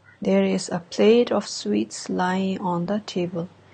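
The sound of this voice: The voice reads aloud in an unforced way.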